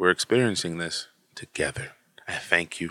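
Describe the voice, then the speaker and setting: Very clean recording, silent background. A man with an American accent speaks at a moderate pace in a bright, sharp tone. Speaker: podcast host. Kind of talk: casual chat with friends. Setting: recorded at a friend's house. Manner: animated, casual.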